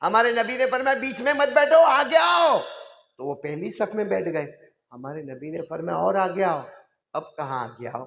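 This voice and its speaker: In a room with audible echo, a man talks at a moderate pace in an animated tone, high in pitch with very wide pitch swings. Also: big swings in loudness. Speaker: Islamic preacher. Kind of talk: sermon.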